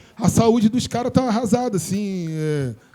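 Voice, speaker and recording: A man with lively intonation talks at a moderate speed amid noticeable background noise. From Brazil, Morro Agudo (Rio de Janeiro area). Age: 40s. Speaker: DJ and show host. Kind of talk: casual group discussion.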